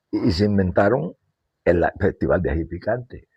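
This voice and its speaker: A somewhat breathy man at a fairly slow pace. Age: 80s+. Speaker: elderly local resident and composer. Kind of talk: oral history interview.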